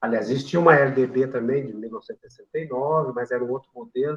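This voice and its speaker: Here a man is speaking. His pitch sits in the medium range. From Brazil, São João del Rei, Minas Gerais. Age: 60s. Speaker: retired physical education professor. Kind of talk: interview. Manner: halting, many fillers.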